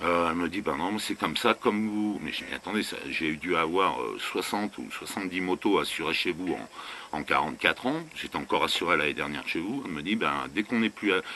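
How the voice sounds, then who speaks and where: Speaking at a fairly quick pace with hardly any pauses, a man with a very deep, low pitch uses lively intonation. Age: 60s. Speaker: vanlife vlogger. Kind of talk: casual rant to camera. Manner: animated; halting.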